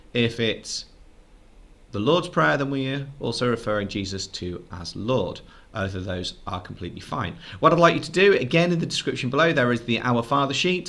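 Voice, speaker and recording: A man's bright, sharp tone sits at a medium pitch. His pitch swings very widely. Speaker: teacher. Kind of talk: lesson. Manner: fast.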